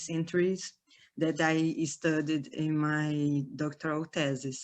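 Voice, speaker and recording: With a Brazilian Portuguese accent, a woman of fairly low pitch speaks at a very slow pace. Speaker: historian. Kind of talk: academic lecture. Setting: online webinar. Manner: halting.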